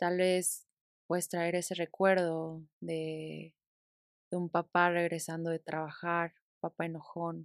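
A fairly low female voice, dry and close with no echo, on a very clean recording with a silent background. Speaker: podcast host and therapist. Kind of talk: guided meditation; casual chat.

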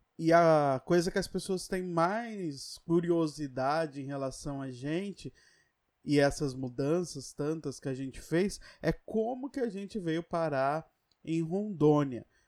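On a very clean recording with a silent background, a man talks at a very slow pace and a fairly high pitch with ordinary pitch variation. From São Paulo. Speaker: podcast co-host. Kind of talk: casual chat.

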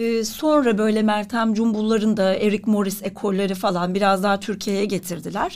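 An ordinary speaking voice from a woman at medium pitch, moderate pace, very even loudness, fairly even intonation and hardly any pauses. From Turkey, Ankara. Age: 40s. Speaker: writer and actress. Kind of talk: interview.

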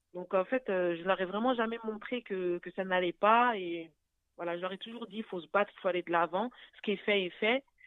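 At a fairly quick pace, a woman speaks in a plain, everyday voice at medium pitch with ordinary pitch variation. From France (Paris). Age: 30s. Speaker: widow sharing her story, nursing student. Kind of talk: testimony. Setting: phone call.

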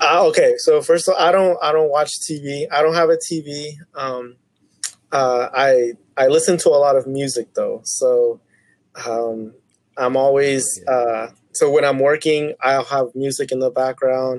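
With an American accent, a man in a normal speaking voice talks fairly slowly at a fairly high pitch with fairly even intonation. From Tulsa, Oklahoma. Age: 20s. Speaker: podcast guest. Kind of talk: casual chat.

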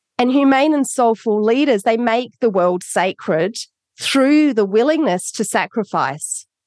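A woman speaks in an Australian accent at a fairly slow pace and a fairly high pitch, with lively intonation. Her loudness stays very even, and the sound is dry and close with no echo over a quiet background. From Australia, Adelaide. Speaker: author. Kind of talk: interview.

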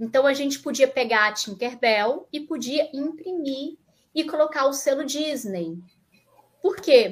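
Her intonation is lively. This woman has a high pitch and takes a fairly slow pace. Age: 40s. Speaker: tech community manager. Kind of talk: live stream interview. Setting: home office. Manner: animated.

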